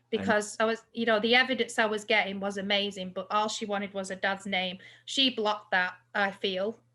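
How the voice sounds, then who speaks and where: In a very clean recording with a silent background, a woman with an English accent speaks at a fairly quick pace and medium pitch, her tone bright and sharp and her intonation flat and monotone. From England. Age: 40s. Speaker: psychic medium. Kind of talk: casual chat.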